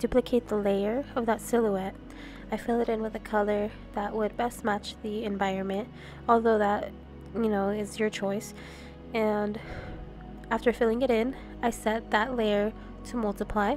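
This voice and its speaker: With music playing in the background, a woman talks in a flat, monotone way, leaving long, frequent pauses. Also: moderate pace. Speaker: digital artist. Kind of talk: art tutorial voice-over. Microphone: studio mic.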